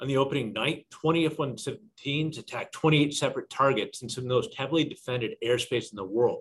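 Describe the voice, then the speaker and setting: This man's voice sits fairly high in pitch. It is somewhat breathy. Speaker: defense policy analyst. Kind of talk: slide presentation.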